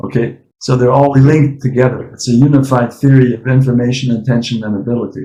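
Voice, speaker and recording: Very fast and with hardly any pauses, a man talks in a flat, monotone way at a medium pitch. His tone is dark and mellow, and somewhat breathy. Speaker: AI professor and researcher. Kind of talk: academic discussion.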